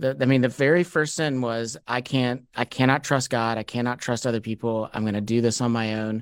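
A man speaks at medium pitch with fairly even intonation and hardly any pauses. The sound is dry and close, with no echo. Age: 40s. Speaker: author and podcast host. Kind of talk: interview. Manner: halting, many fillers.

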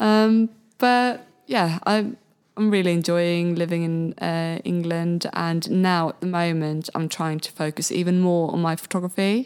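A woman speaks at a fairly low pitch with a Swedish accent. Her pace is fairly slow, with ordinary pitch variation. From Sweden, Malmö. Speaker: photographer and podcast host. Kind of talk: interview. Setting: studio.

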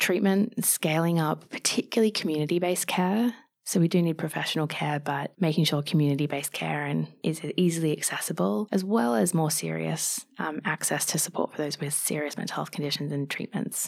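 Over a silent background on a very clean recording, a woman with an Australian accent talks fairly quickly with hardly any pauses, lively intonation and a very deep, low pitch. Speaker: mental health advocate. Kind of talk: podcast interview.

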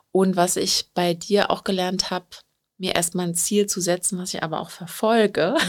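Her intonation monotone and flat, a woman speaks with medium pitch at a moderate pace. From Berlin, Germany. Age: 30s. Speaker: professional organizer and coaching client. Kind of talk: interview. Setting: studio.

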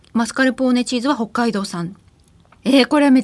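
This woman's voice sits at a high pitch, with ordinary pitch variation. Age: 30s. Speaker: podcast host interviewing business leaders. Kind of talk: casual chat, food tasting. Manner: animated.

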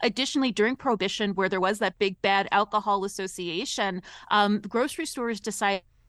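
In a dry, close sound with no echo and a quiet background, a woman with a plain, everyday voice and an American accent talks fairly quickly at a medium pitch with ordinary pitch variation. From Ohio. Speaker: culinary historian and author. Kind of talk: radio interview.

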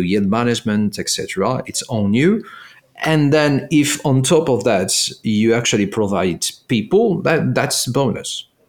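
The speaker has a French accent and lively intonation. The pace is moderate. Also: man. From France. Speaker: tech product executive. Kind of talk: interview.

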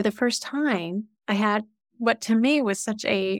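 The speaker has a normal speaking voice with ordinary pitch variation. The sound is dry and close, with no echo. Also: woman. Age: 50s. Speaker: life and executive coach. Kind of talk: casual chat.

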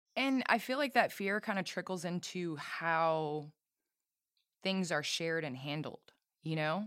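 A woman with a normal speaking voice talks at a fairly slow pace, her fairly low pitch moving with lively intonation. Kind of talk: casual interview chat. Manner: warm, friendly.

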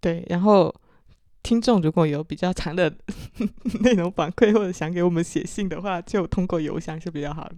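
A woman with a Chaoshan accent speaks at a fairly low pitch and a moderate pace, with ordinary pitch variation. Her loudness swings widely on a very clean recording with a silent background. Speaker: podcast host, marketing professional. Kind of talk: casual chat.

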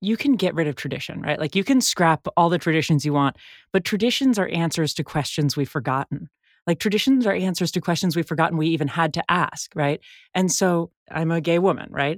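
Recorded very cleanly against a silent background, with a dry, close sound and no echo, a woman with a Californian accent speaks with lively intonation. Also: fairly low pitch for a woman, fairly quick pace. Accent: Californian American. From US West Coast, San Francisco. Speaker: journalist. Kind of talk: casual interview. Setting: home closet.

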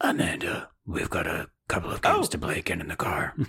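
A raspy, put-on character voice rattles along at a fairly quick pace. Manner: menacing, smooth.

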